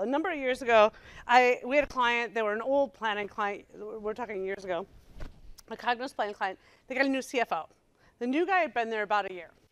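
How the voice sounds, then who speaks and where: Fairly high in pitch, a woman talks at a fairly quick pace. Her tone is animated, with lively intonation. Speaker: software consultant and presenter. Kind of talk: presentation to user group. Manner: fast.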